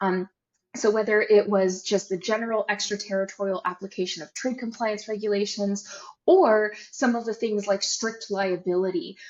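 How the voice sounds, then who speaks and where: This woman has a normal speaking voice, medium in pitch, with an American accent. She keeps a moderate pace and fairly even intonation. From United States. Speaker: trade compliance consultant, company co-founder. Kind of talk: podcast interview.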